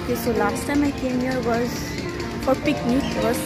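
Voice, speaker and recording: A woman speaks over loud background music, her voice dry with no echo. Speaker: vlogger. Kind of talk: casual vlog chat. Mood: relaxed, cheerful. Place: garden. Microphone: phone near.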